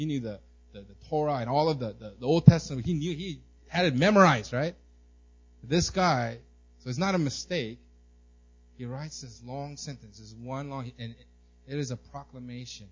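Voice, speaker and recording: Somewhat breathy, a man speaks at a moderate pace and medium pitch, with long, frequent pauses and big swings in loudness. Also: ordinary pitch variation. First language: not English. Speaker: pastor. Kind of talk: sermon. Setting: church. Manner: halting, frequent repetitions.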